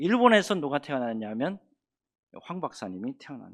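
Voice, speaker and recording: A man's pitch swings very widely as he talks at a moderate pace, with a quiet background behind him. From North Gyeongsang, Korea, near Pohang. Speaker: pastor. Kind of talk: sermon. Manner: conversational, asks the congregation questions.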